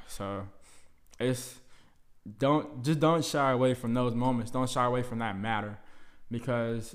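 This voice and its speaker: A man talks with long, frequent pauses. Audible room echo is heard. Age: 20s. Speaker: podcast host, college student. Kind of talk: casual monologue. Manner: casual, filler-heavy.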